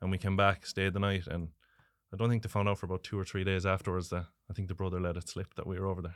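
Delivered at a very fast pace with monotone, flat intonation, the speech comes on a very clean recording with a silent background. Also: man, very deep, low pitch for a man. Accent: Galway. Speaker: racing superfan. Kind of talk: interview. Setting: studio. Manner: laughs often.

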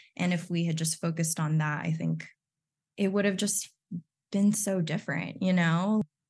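At a moderate pace, a woman with a fairly low, somewhat breathy voice speaks with fairly even intonation and long, frequent pauses. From Texas (born in the Philippines). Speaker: podcast co-host. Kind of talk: casual chat.

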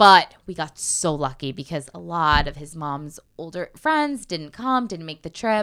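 With an American accent and an unremarkable speaking voice, a woman talks fairly slowly at a fairly low pitch with ordinary pitch variation, in a very clean recording with a silent background. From Connecticut. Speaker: actress and voiceover artist. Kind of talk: casual chat.

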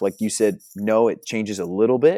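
A man with an American accent at medium pitch and a moderate pace, on a very clean recording with a silent background. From New Jersey. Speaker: youth ministry leader. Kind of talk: casual interview.

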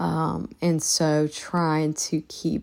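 A woman with a very deep, low pitch is heard on a very clean recording, the background silent. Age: 40s. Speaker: podcast host. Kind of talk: casual monologue. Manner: hesitant, many fillers.

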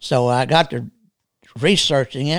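Speaking with a Texas accent, a man uses a medium pitch and lively intonation. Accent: Texas drawl. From Texas, rural. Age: 70s. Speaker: military veteran. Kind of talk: casual interview conversation. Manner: halting, many fillers.

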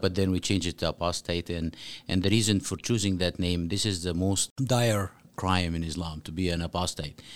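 On a very clean recording with a silent background, a man with an Arabic accent and a very deep, low pitch speaks at a moderate pace with fairly even intonation. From Egypt (Cairo). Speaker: author and former imam. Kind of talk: interview.

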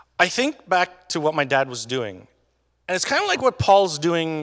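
In a normal speaking voice, a man talks at a moderate pace with fairly high pitch and lively intonation. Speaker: pastor. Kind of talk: sermon. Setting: church. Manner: casual, joking.

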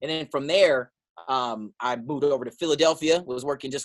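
A man with an American accent speaks at a fairly quick pace in a plain, everyday voice. His intonation is fairly even, and the sound is dry and close with no echo. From San Diego, Southern California. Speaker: radio host. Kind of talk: casual chat. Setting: video call.

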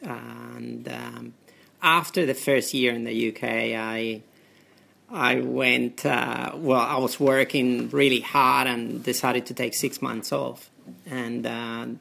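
With a Spanish accent, a man speaks at a very slow pace. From Spain. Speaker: doctor. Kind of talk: interview. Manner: halting.

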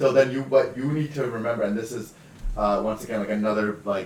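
Noticeable background noise sits behind a man speaking at a fairly quick pace with a Canadian accent. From Western Canada, British Columbia. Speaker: comedian. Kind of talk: casual chat.

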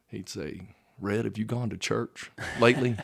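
The speaker is a man with a Texan accent, talking fairly slowly. The recording is very clean, with a silent background. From Texas (Vernon, North Texas). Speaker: high school football coach. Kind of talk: casual interview.

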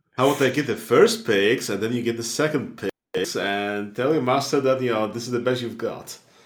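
With a normal speaking voice, a man at medium pitch talks at a fairly quick pace with fairly even intonation. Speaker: tabletop roleplaying game player. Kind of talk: casual roleplaying game session with banter.

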